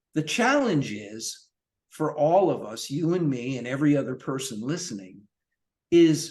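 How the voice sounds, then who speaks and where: In an unremarkable speaking voice, a man talks at a fairly slow pace and a fairly high pitch, with lively intonation. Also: quiet background. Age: 60s. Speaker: longevity and fitness coach, author. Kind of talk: podcast interview.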